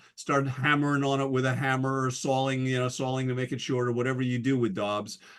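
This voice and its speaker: A man with an American accent and an unremarkable speaking voice talks at a fairly quick pace and a medium pitch. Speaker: guest speaker at astronomy society. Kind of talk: presentation talk. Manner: casual, with many fillers.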